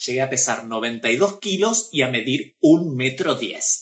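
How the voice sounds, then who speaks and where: A somewhat breathy man at a fairly slow pace, with lively intonation. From Argentina, Pergamino. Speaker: actress and drag performer. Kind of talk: casual interview. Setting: Instagram live video.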